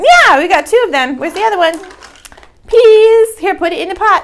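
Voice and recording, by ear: Speaking at a moderate pace, a woman uses an extremely high pitch. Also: lively intonation.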